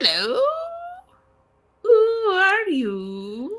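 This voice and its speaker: A put-on character voice that swings very widely in pitch. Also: female-sounding voice, high pitch for a woman. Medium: actual play. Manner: whimsical, fixated on songs.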